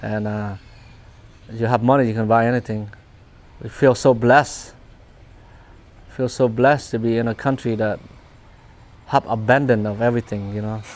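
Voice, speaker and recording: A man with a Vietnamese accent speaks at a medium pitch and a moderate pace, his intonation flat and monotone, with long, frequent pauses. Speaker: refugee immigrant interviewee. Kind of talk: personal testimony interview. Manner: halting with many repetitions.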